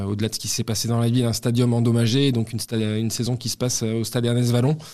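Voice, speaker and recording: This man talks at a very fast pace. His voice sits at a medium pitch. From Toulouse, southwestern France. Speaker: football club marketing director. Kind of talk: interview testimony.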